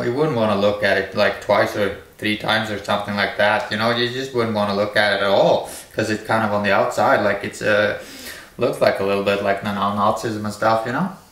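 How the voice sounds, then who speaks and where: With a Norwegian accent, a man talks at a fairly quick pace in a fairly low pitch and a monotone, flat intonation, with audible room echo and noticeable background noise. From Norway. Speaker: video blogger. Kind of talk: monologue rant. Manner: halting.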